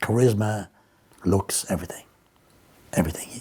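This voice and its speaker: A man's fairly quick, monotone, flat delivery with an Irish accent. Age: 70s. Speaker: Elvis impersonator. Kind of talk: interview. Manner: halting.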